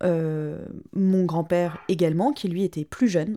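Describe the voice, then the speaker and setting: A woman's dark, mellow tone at a fairly low pitch, with ordinary pitch variation and a very slow pace, on a very clean recording with a silent background. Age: 30s. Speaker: interviewee telling family history. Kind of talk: personal testimony interview.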